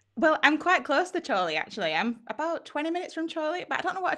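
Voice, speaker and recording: A woman's bright, sharp voice in a rural Lancashire accent. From Lancashire, northwest England. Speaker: photographer. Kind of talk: live stream interview.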